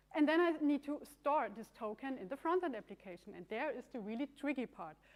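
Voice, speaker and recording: Her intonation rises and falls in a lively way. This woman speaks very fast. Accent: German. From Germany. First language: German. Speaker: conference speaker, software developer. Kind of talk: tech conference talk.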